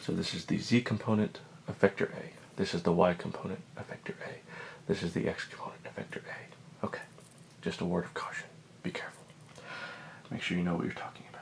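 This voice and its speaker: A man whispers at a very fast pace with long, frequent pauses. Noticeable background noise is present. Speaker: physics teacher. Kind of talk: ASMR educational lesson, soft spoken. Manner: soft-spoken.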